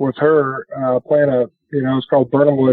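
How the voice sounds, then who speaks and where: At a moderate pace, a man with an American accent and fairly high pitch talks in a plain, everyday voice. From Minnesota. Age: 40s. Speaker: professional golfer. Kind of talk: interview.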